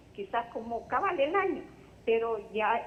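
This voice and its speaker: Pitched fairly high, a woman's voice shows ordinary pitch variation. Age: 60s. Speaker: caller with health question. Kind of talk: phone-in question. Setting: phone call.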